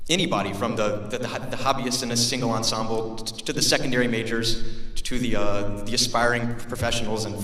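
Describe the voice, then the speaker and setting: Noticeable background noise and audible room echo both surround a man as he talks. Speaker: graduating student speaker. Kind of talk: commencement speech. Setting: stage with audience. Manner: halting.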